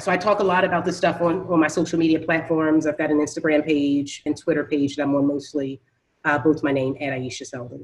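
A woman with an American accent speaks at a very fast pace and a very deep, low pitch, with ordinary pitch variation. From Philadelphia. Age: 40s. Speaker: real estate investor. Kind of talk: interview.

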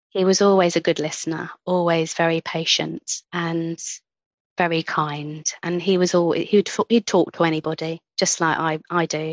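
Speaking in a London accent, a woman with a fairly low pitch talks at a moderate pace in a monotone, flat intonation. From central London. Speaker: nurse and sonographer. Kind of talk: casual interview chat. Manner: passionate, warm.

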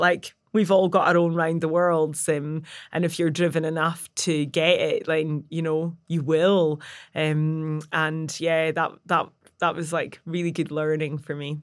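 A woman with a plain, everyday voice talks at a fairly slow pace and fairly low pitch, her intonation fairly even, on a very clean recording with a silent background. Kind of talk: casual interview chat. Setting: studio.

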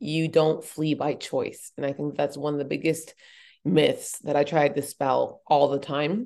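A woman with an American accent, very deep and low in pitch, in a dark, mellow tone, monotone and flat, at a fairly slow pace, against a quiet background. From Boulder, Colorado, US. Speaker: activist and humanitarian advocate. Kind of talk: interview conversation.

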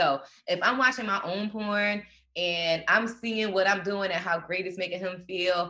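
Speaking with a normal speaking voice, a woman keeps a medium pitch with ordinary pitch variation at a moderate pace. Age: 40s. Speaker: pole dance instructor. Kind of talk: casual chat.

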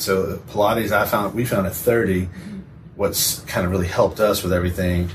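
A man with a normal speaking voice and a fairly low pitch. He talks at a moderate pace with fairly even intonation. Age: 40s. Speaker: physical therapist. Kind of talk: casual chat.

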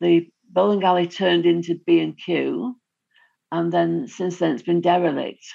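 Against a quiet background, a woman talks at a fairly slow pace in a fairly low pitch, her tone dark and mellow and her intonation fairly even. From Greater Manchester, England. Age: 70s. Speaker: retired teacher, local resident. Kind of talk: interview. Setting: video call.

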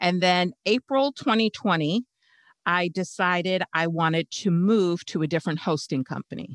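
The speech moves at a fairly slow pace with ordinary pitch variation, on a very clean recording with a silent background. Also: woman. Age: 50s. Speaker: occupational therapist turned podcast launch strategist. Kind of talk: interview.

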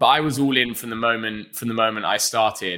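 Speaking at a very fast pace, a man uses a bright, sharp tone, fairly low pitch and fairly even intonation. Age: 20s. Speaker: food media founder. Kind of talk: interview.

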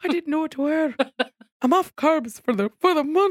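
A put-on character voice, high-pitched, in an Irish accent, at a moderate pace. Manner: exaggerated, mocking.

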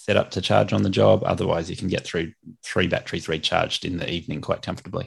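Against a quiet background, a man with an Australian accent speaks in a very deep, low voice with fairly even intonation. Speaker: lawn maintenance business owner and podcast host. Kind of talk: casual interview. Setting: remote call.

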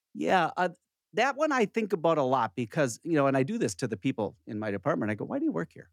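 A man with an American accent talks at a very fast pace in a fairly high pitch, his voice swinging very widely in pitch and showing vocal fry, on a very clean recording with a silent background and a dry, close sound with no echo. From US Minnesota. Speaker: internal medicine doctor and radio host.

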